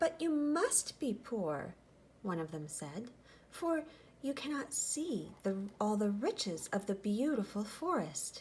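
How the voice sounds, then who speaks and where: A rumbling put-on character voice goes at a fairly slow pace with very wide pitch swings over clear background noise. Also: female-sounding voice, fairly high pitch for a woman. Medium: read story. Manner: grumbly, complaining.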